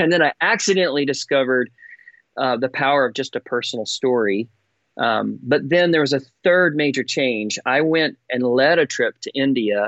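Here a man talks at a moderate pace with an American accent. His pitch varies in an ordinary way. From Texas. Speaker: songwriter and storyteller for a child-sponsorship charity. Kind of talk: casual chat.

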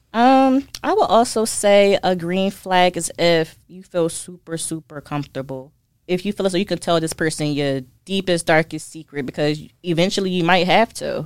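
In a normal speaking voice, a woman with a fairly low pitch talks at a moderate pace, with ordinary pitch variation and big swings in loudness. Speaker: licensed therapist. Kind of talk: casual interview. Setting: studio.

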